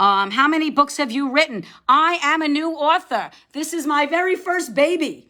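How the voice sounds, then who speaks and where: A woman with a New York accent uses a raised, projected voice with a bright, sharp tone, moderate pace and ordinary pitch variation, captured in a very clean recording with a silent background. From New York, Long Island area. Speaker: debut novelist. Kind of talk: live-stream book chat. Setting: live video stream. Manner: chatty, hesitant with fillers.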